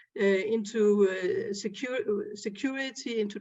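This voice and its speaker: This woman has a fairly high voice. She speaks with a Danish accent. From Denmark. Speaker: groundwater expert. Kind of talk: panel discussion. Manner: halting, many fillers.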